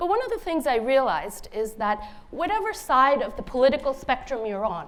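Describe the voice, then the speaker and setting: Audible room echo surrounds a woman talking at a fairly quick pace in a high-pitched voice. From India (Bengali), then Cambridge, Massachusetts from age 10. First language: Bengali. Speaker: author. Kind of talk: conference talk.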